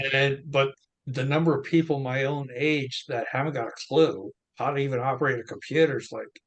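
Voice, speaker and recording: A man's fairly high-pitched, somewhat breathy voice at a fairly quick pace with monotone, flat intonation. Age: 60s. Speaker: crypto wallet expert. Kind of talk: interview.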